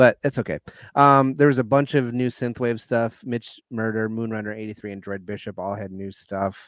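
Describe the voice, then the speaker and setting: A man with a normal speaking voice and an American accent talks at a moderate pace in medium pitch with fairly even intonation, the sound dry and close with no echo over a very clean recording and silent background. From Michigan. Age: 30s. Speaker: podcast co-host. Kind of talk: casual chat.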